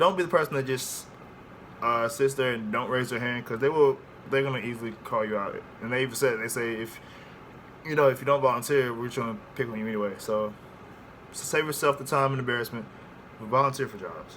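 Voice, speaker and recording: Over noticeable background noise, a man with a medium pitch and fairly even intonation talks very fast, with big swings in loudness and long, frequent pauses. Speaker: air force recruit vlogger. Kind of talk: casual vlog. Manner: casual, hesitant with fillers.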